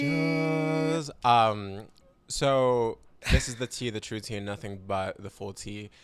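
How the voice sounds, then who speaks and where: A man's medium-pitched voice at a very slow pace, with ordinary pitch variation, big swings in loudness and noticeable background noise. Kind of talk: casual podcast talk.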